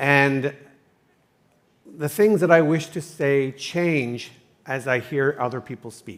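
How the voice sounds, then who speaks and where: Speaking with a slight Canadian accent, the voice moves at a very slow pace with long, frequent pauses. Its pitch varies in an ordinary way, with big swings in loudness. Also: man, fairly high pitch for a man. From Canada. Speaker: entrepreneur, summit sponsor. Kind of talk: panel discussion. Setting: stage at a conference.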